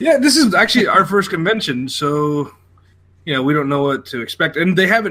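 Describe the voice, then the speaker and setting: A man talks loudly at a fairly quick pace with an American accent. His tone is bright and sharp, and his intonation is lively. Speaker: podcast co-host. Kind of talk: casual chat.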